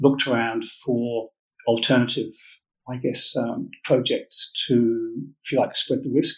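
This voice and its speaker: Someone with an English accent speaks at a fairly slow pace. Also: man. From England. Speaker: mining company managing director. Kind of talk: business interview.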